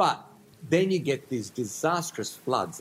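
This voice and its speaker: Lively intonation and a somewhat breathy sound carry speech at a moderate pace. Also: man. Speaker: food historian. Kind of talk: interview.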